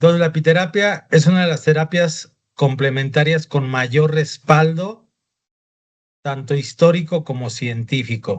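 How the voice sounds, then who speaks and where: A man speaks at a fairly slow pace with a fairly high pitch. His pitch varies in an ordinary way. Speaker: doctor teaching a class. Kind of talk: lecture.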